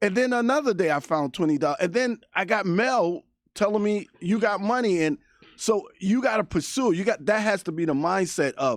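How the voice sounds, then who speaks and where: A man talks at a moderate speed, his pitch swinging very widely, on a very clean recording with a silent background. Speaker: radio co-host. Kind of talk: radio talk show chat.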